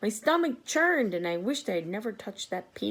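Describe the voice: A plain read-aloud delivery.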